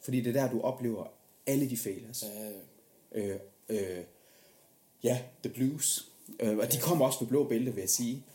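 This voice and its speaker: This man's medium-pitched voice is somewhat breathy with a dark, mellow tone, moving at a moderate pace with ordinary pitch variation and long, frequent pauses. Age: 30s. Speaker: podcast host. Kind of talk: casual interview chat.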